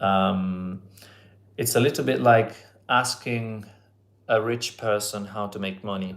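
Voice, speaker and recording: A man speaks at a fairly low pitch with an Italian accent. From Italy. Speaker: language teacher. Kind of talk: live online lesson. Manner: hesitant, many fillers.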